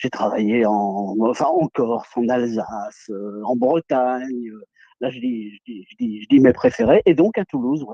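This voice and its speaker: A man talks at a medium pitch with ordinary pitch variation and a dark, mellow tone. His fairly slow delivery has a dry, close sound with no echo. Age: 70s. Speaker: retired TV news presenter. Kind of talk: interview testimony.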